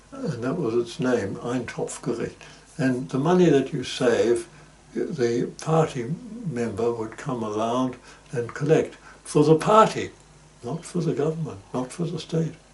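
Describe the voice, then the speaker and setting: A man speaks at a medium pitch and a fairly slow pace, with ordinary pitch variation over noticeable background noise. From Germany, Hamburg. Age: 90s. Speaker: interviewee recounting life story. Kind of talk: oral history interview. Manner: halting, many fillers.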